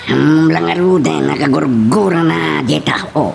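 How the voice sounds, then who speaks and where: Over clear background noise, a put-on character voice speaks low and fairly slowly, with very wide pitch swings. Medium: audio drama. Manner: gossipy, scornful.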